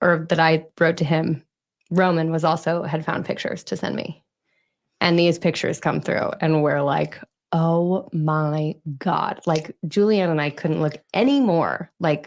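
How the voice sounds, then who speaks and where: A woman with a normal speaking voice talks at a fairly slow pace and fairly low pitch, her intonation fairly even. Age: 30s. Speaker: podcast host, triplet. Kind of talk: casual chat.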